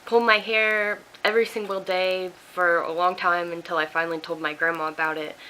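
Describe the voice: A woman's fairly low voice, bright and sharp in tone, with ordinary pitch variation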